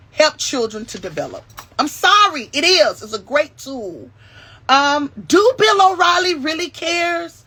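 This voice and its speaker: A raised, projected voice, animated and bright, sharp in tone, with very wide pitch swings at a fairly slow pace. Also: woman, high pitch for a woman. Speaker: YouTube commentary host. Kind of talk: casual live-stream commentary. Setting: live stream. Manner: animated, many fillers.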